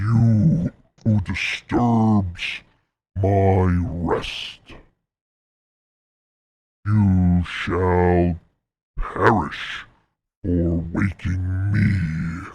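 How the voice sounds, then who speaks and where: A man's put-on character voice, very deep and low, at a very slow pace with long, frequent pauses. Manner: ominous.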